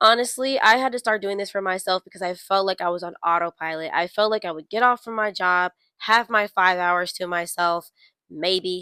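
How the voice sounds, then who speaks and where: On a very clean recording with a silent background and a dry, close sound with no echo, a woman with an unremarkable speaking voice talks at a moderate pace, medium pitch, and fairly even intonation. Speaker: lifestyle vlogger. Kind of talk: casual advice monologue to camera.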